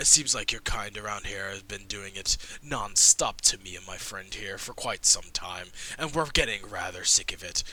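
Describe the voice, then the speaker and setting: In a put-on character voice, a man talks at a moderate pace with a fairly low pitch over clear background noise. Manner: firm, confrontational, refined.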